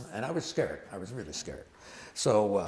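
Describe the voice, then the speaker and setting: A man with an American accent talks at a very fast pace. His voice is somewhat breathy, with very wide pitch swings. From Detroit, US Midwest. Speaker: boogie woogie pianist. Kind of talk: storytelling between songs.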